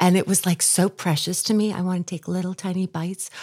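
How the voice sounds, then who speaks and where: In an unremarkable speaking voice, a woman talks fairly quickly at a medium pitch, the sound dry and close with no echo on a very clean recording over a silent background. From New York, Long Island. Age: 50s. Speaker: podcast host. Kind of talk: casual interview.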